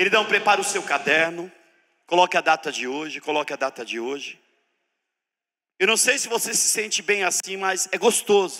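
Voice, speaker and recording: This man's pitch is high, with ordinary variation. He keeps to a moderate pace. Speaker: preacher teaching a church seminar. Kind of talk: sermon-style teaching seminar. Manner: animated.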